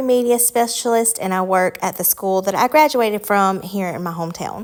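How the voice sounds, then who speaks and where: Speaking with a Southern US accent at a moderate pace, a woman uses a medium pitch and ordinary pitch variation over a very clean recording with a silent background. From US South, Alabama. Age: 20s. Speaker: lifestyle vlogger. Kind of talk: casual Q&A chat. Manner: relaxed, many filler ums.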